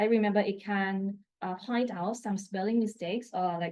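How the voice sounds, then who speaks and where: With a Thai accent, a woman speaks at a medium pitch. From Thailand, Bangkok. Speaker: assistant professor. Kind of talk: conference talk. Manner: halting.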